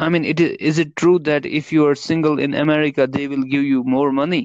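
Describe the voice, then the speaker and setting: A man's fairly high voice in an Indian accent with fairly even intonation. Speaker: guest co-host. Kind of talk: casual chat. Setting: phone call. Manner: halting.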